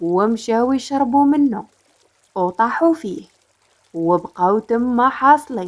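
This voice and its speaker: Her tone is calm as a woman speaks at a very slow pace in a high pitch. Her voice makes very wide pitch swings. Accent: Moroccan. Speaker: storyteller. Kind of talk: storytelling narration.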